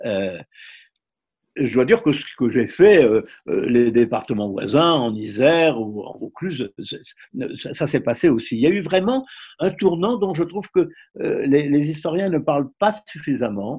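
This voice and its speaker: A man's fairly high voice moving in very wide pitch swings at a fairly slow pace. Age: 90s. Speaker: former resistance fighter. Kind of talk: interview. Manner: halting.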